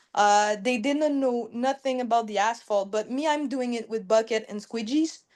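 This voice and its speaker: A woman with a French accent speaks at a fairly high pitch and a moderate pace, with hardly any pauses. Her pitch varies in an ordinary way against a quiet background. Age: 20s. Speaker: business owner. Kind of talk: casual chat. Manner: halting.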